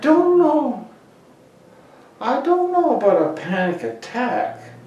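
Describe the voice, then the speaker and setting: A man speaks at a very slow pace with extremely high pitch and very wide pitch swings, and audible room echo surrounds him. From Prince Edward Island, Canada. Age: 70s. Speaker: oral history interviewee. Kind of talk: oral history interview answer. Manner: hesitant, halting. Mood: reflective, hesitant. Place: office.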